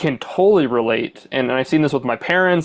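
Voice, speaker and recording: Over a quiet background, a man with a plain, everyday voice speaks at a fairly high pitch with ordinary pitch variation. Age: 30s. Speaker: podcast host. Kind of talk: interview.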